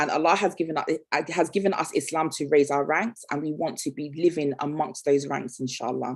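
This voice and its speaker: The speaker is a woman. Her pitch moves in a lively way. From Nigeria. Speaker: entrepreneur and guest speaker. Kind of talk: motivational talk. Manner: fast.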